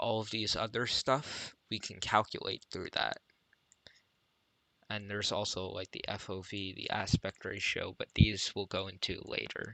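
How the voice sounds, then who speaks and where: A man at a moderate pace over a quiet background. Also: dry, close sound with no echo. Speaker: programming tutor streamer. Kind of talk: live-streamed tutorial. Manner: quiet, subdued; flat, low energy.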